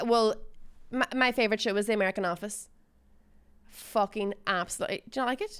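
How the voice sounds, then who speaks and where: In a very clean recording with a silent background, a woman with a Northern Irish accent speaks at a fairly quick pace and fairly high pitch, her intonation fairly even and her speech broken by long, frequent pauses. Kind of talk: casual chat.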